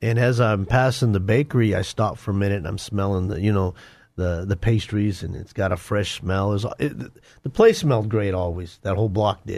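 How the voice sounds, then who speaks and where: In a normal speaking voice, a man with an American accent speaks at a fairly quick pace and fairly low pitch with ordinary pitch variation against a quiet background. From Denver, Colorado. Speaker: former gang member turned ministry author. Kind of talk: testimony.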